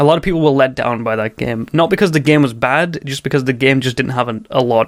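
A man talks at a fairly quick pace with a fairly high pitch and ordinary pitch variation. It is a plain, everyday voice. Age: 20s. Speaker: speedrunner. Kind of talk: casual chat.

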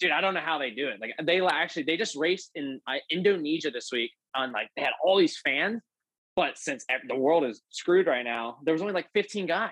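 Fairly high in pitch, this man has a plain, everyday voice. His intonation is lively and his pace fairly quick. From Pennsylvania. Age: 20s. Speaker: professional motocross racer. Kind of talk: casual interview.

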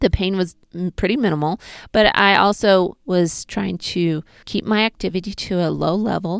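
A woman with an unremarkable speaking voice talks at a moderate pace in a medium pitch, her intonation fairly even, the sound dry and close with no echo and the recording very clean against a silent background. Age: 40s. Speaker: pelvic floor physical therapist. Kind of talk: personal health vlog monologue.

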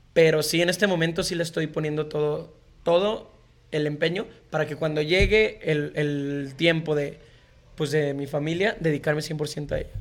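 An unremarkable speaking voice from a man, fairly high in pitch, with fairly even intonation at a moderate pace. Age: 20s. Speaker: musician. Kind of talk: casual chat.

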